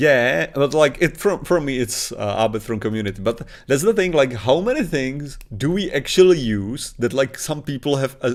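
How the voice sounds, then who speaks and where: Here a man speaks with a Czech accent. His intonation is lively. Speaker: podcast co-host. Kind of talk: casual chat. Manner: halting.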